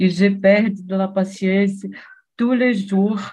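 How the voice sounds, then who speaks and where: A somewhat breathy woman at a medium pitch, with a Portuguese accent. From Brazil, Rio de Janeiro. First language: Portuguese (speaking French). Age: 60s. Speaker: retiree, language learner. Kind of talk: conversation practice. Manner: halting.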